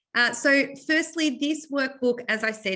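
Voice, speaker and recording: A woman speaks with an Australian accent. Her tone is bright and sharp. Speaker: psychology teacher and textbook author. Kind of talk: webinar presentation. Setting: online webinar. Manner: fast.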